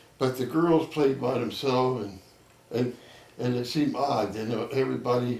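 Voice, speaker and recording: The speaker has an American accent and ordinary pitch variation. Audible echo fills the room. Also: man, medium pitch for a man, moderate pace. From Trenton, New Jersey. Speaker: local elder interviewee. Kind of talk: oral history interview. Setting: neighbor's home.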